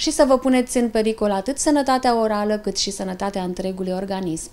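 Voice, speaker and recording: The voice has a dark, mellow tone and moves at a moderate pace. Its pitch varies in an ordinary way. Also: woman. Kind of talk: interview answer. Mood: calm, reassuring. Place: office.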